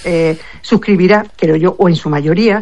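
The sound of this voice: A woman's fairly low, slightly mellow voice at a moderate pace, with ordinary pitch variation.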